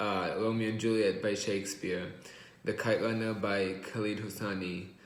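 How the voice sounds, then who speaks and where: Audible room echo carries a man's fairly low-pitched voice. He talks at a moderate pace with monotone, flat intonation. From Israel, then California Bay Area from age 8. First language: Hebrew. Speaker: college student. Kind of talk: class presentation. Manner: hesitant, many uh fillers.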